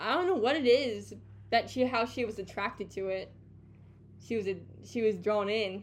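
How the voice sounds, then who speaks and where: A woman's voice shows vocal fry and ordinary pitch variation. She leaves long, frequent pauses. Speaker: podcast co-host. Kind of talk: casual chat.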